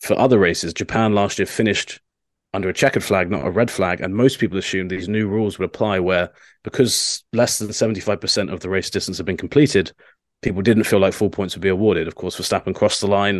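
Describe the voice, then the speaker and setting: Speaking very fast with a British accent, a man keeps a fairly low pitch and fairly even intonation over a quiet background. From England. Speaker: motorsport journalist. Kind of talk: casual podcast chat.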